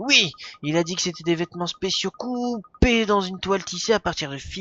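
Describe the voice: Ordinary pitch variation in plain reading aloud.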